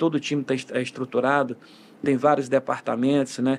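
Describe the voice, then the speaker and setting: A man keeps to a medium pitch and monotone, flat intonation while talking at a moderate pace. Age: 60s. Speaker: football coach. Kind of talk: interview. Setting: podcast studio. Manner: halting, many fillers and restarts.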